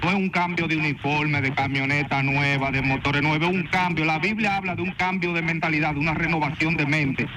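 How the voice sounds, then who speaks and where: Amid audible room echo and noticeable background noise, a man with a fairly high pitch talks at very even loudness with hardly any pauses. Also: fairly quick pace. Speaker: caller. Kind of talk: call-in opinion. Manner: animated.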